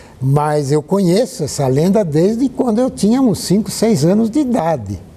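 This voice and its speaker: At a moderate pace, a man speaks at a high pitch with very wide pitch swings and very even loudness, over noticeable background noise. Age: 80s+. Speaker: historian and architect. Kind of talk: interview.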